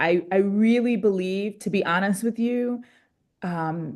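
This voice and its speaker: An ordinary speaking voice moves at a fairly slow pace with ordinary pitch variation. The background is quiet. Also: woman. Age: 40s. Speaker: pastor and climate activist. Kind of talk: facilitating group discussion. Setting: video call.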